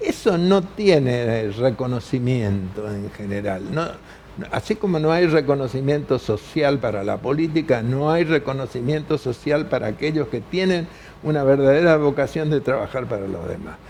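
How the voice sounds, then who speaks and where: A man speaks at a moderate pace with a fairly high pitch and lively intonation. Noticeable background noise runs behind him. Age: 80s+. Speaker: veteran politician and author. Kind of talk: TV news interview. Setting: TV studio.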